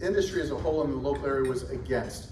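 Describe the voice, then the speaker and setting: A man with a fairly high voice is heard through noticeable background noise and audible room echo. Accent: American. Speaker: chamber of commerce event emcee. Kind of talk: event announcements. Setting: stage with audience.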